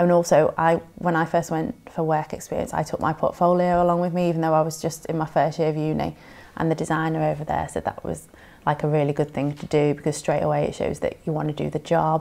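Talking very fast, a woman with a Merseyside accent has a very deep, low pitch, a dark, mellow tone, vocal fry and monotone, flat intonation. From northern England, Merseyside (Southport); northern England. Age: 20s. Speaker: standby art director in TV. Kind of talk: career interview. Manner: casual, hesitant with fillers. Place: home room.

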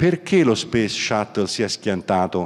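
The background stays quiet while a man talks. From southern Italy. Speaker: business executive and author; guest. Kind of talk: keynote talk. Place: hall. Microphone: handheld.

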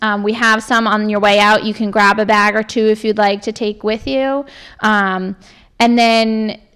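A woman speaks in a monotone, flat intonation. The background is quiet. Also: moderate pace. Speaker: presenter. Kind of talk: informational public talk. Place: meeting room. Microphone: handheld.

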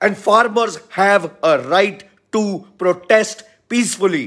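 Over a quiet background, a man talks loudly with ordinary pitch variation. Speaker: political commentator. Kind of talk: political commentary monologue. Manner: loud, impassioned. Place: home room. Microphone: phone near.

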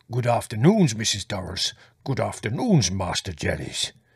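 A put-on character voice, raspy and rumbling, moves at a moderate pace with lively intonation. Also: man, medium pitch for a man. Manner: slow, heavy, friendly.

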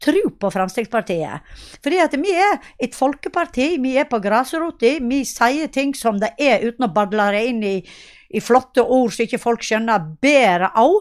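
A woman with a high pitch talks at a moderate pace, her pitch swinging very widely. The background is quiet. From western Norway, Sogn; western Norway. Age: 50s. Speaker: local politician. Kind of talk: interview. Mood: earnest, campaigning. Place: home room. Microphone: handheld.

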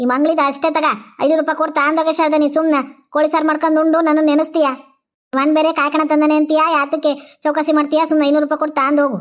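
A cartoonish character voice, female-sounding and high-pitched, with monotone, flat intonation. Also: moderate pace. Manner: stubborn, haggling.

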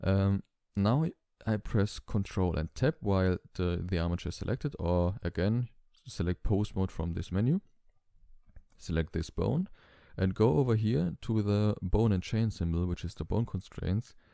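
Here a man with a non-native accent speaks in a fairly low, dark, mellow voice. The sound is dry and close with no echo, on a very clean recording with a silent background. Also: ordinary pitch variation, moderate pace. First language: not English. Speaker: tutorial channel creator. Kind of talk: tutorial. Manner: hesitant, many fillers.

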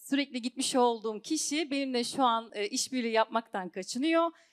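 A woman's high-pitched voice at a moderate pace, with ordinary pitch variation over a quiet background. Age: 30s. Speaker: singer and network marketing seller; network marketing seller. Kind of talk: sales seminar talk. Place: hall. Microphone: handheld.

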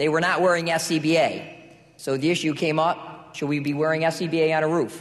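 A man speaks in a monotone with flat intonation. His loudness stays very even. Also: moderate pace. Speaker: panel moderator, volunteer firefighter. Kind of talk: panel discussion. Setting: stage with audience. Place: hall. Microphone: podium.

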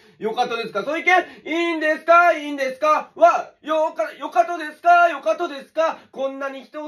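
Against a quiet background, a man with a Saga accent talks at a fairly quick pace with a high pitch. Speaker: dialect teacher. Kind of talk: casual comedic dialect lesson to camera. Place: home room. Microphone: phone near.

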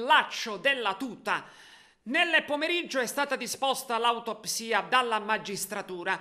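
In a very clean recording with a silent background, a man projects a raised voice with a bright, sharp tone, speaking fairly slowly in a solemn tone with lively intonation. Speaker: TV news reporter. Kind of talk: formal TV news report reading. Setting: TV news package. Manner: formal; solemn, measured.

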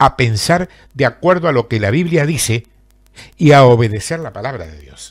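On a very clean recording with a silent background, a man speaks in an Argentine accent at a fairly slow pace. His voice is somewhat breathy and fairly high, with lively intonation. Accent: Argentine Spanish (Rioplatense, voseo). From Argentina, southern Santa Fe province. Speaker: preacher. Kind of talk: sermon.

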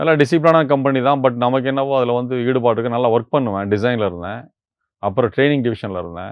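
A man's unremarkable speaking voice at medium pitch, with ordinary pitch variation. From Tamil Nadu, Vellore district. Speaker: retired engineer, meditation practitioner. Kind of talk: testimony.

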